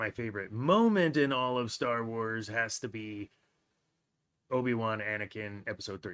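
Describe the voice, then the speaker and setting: In a very clean recording with a silent background, a man speaks at medium pitch and a moderate pace in a plain, everyday voice. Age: 40s. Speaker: podcast host, guest on another show. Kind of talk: casual chat.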